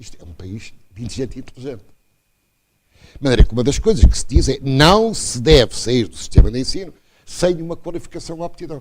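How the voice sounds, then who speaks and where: Vocal fry marks this man's fairly high-pitched voice, which shows very wide pitch swings and big swings in loudness. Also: fairly quick pace. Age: 80s+. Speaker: professor. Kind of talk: lecture. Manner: animated.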